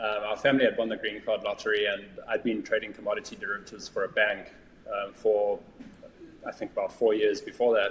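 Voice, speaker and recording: Through noticeable background noise, a man with a South African accent speaks at a very fast pace. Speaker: business valuation executive. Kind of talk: interview conversation. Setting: podcast.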